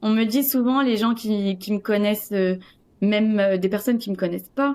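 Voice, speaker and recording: In a very clean recording with a silent background, a woman with a dark, mellow tone speaks at a fairly high pitch with ordinary pitch variation. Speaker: coaching client sharing her story. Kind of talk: interview testimony. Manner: loud; hesitant, many fillers.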